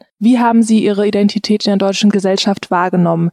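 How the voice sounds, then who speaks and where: A woman in an unremarkable speaking voice, medium in pitch, fairly quick, with fairly even intonation. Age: 20s. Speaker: podcast host. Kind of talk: interview.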